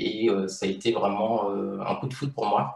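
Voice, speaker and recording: With audible room echo, a man speaks in a fairly low pitch and ordinary pitch variation. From Martinique. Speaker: illustrator. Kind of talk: interview. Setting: video call. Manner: hesitant, many fillers.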